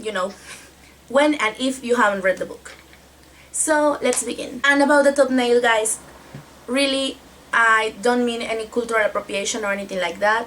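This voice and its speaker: A woman with a Spanish accent speaks at a high pitch, with ordinary pitch variation and a moderate pace. She takes long, frequent pauses over noticeable background noise. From Mexico. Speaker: book vlogger. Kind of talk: casual book review vlog.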